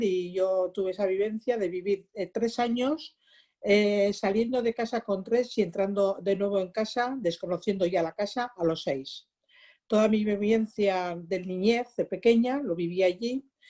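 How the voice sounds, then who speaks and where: A woman's medium pitch with ordinary variation and a dark, mellow tone, fairly slow in pace, against a quiet background. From Basque Country, Biscay coast (Ondarroa). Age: 60s. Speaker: polio survivor. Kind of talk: testimony.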